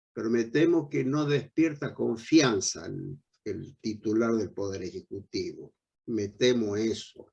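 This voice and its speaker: The speaker is a man with a medium pitch. He talks very slowly. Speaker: veteran politician. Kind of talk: panel discussion.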